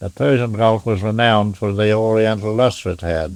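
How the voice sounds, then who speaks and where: In an Australian accent, a man talks at a moderate pace with a fairly low pitch. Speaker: pearling master and storekeeper. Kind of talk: oral history interview answer. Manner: sober yet humorous.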